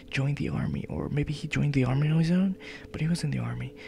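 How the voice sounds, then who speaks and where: A quiet voice comes through over noticeable background noise. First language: not English. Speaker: let's play gamer. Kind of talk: let's play commentary with reading aloud.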